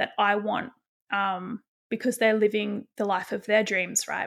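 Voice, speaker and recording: In a very clean recording with a silent background, a woman uses an ordinary speaking voice, fairly high in pitch, at a moderate pace. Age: 30s. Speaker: podcast host and author. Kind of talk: casual solo monologue.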